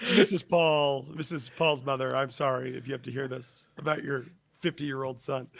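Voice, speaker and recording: This man has an ordinary speaking voice at a fairly high pitch. He keeps a moderate pace with fairly even intonation. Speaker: podcast co-host. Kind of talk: casual chat, storytelling.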